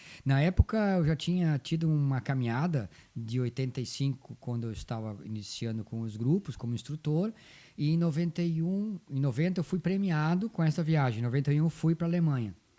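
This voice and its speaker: Recorded very cleanly against a silent background, a man with a fairly high pitch and a dark, mellow tone talks at a fairly quick pace with lively intonation. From southern Brazil, Rio Grande do Sul. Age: 60s. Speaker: folk dance group coordinator. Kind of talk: interview.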